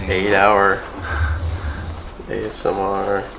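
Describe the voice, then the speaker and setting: A man talks very slowly as noticeable background noise fills the recording. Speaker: amateur snowboard repairer. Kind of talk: casual how-to talk with a friend.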